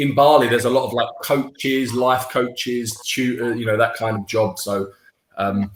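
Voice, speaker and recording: A man speaks with a London accent at a moderate pace. His medium-pitched voice has ordinary pitch variation. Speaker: online English tutor. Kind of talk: casual chat.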